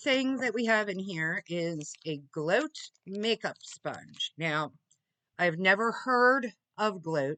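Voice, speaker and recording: A woman speaks at a medium pitch with a bright, sharp tone, very slowly and with long, frequent pauses, in a dry, close sound with no echo. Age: 60s. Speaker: beauty subscription box reviewer. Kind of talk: product unboxing review. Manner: halting, many fillers.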